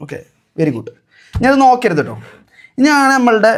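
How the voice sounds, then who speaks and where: The man's pitch swings very widely in an animated tone. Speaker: vlogger. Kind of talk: casual vlog with magic show.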